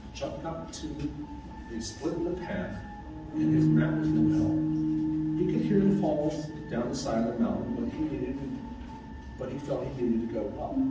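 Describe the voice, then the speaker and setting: Music plays in the background as speech moves at a moderate pace with long, frequent pauses and audible room echo. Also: man. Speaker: storyteller. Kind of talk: reading a ghost story to an audience. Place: meeting room. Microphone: camera far.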